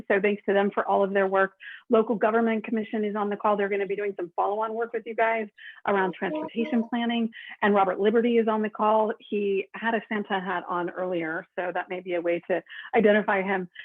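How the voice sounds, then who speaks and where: A woman speaks at a medium pitch with an American accent. She talks at a very fast pace with fairly even intonation. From rural Oregon, US. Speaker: consultant. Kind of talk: presentation. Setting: video call.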